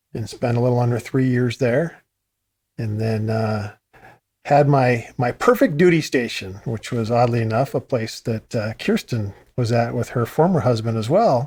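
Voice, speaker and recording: In an American accent, a man with a medium pitch and a somewhat breathy voice talks at a moderate pace with ordinary pitch variation, on a very clean recording with a silent background. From US Pacific Northwest (Vancouver, Washington; Eastern Oregon). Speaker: Gulf War veteran. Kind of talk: casual interview.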